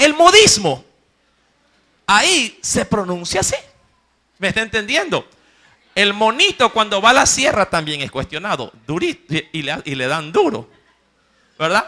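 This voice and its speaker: A man speaks in a raised, projected voice with a high pitch and a bright, sharp tone, his delivery animated with very wide pitch swings. His pace is fairly slow, broken by long, frequent pauses. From Ecuador, coast (Guayaquil). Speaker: preacher. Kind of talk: sermon. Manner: animated storytelling.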